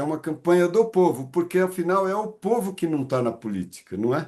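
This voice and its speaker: With lively intonation, a man speaks at a moderate pace in a high voice. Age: 70s. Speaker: meeting facilitator. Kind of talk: online group meeting.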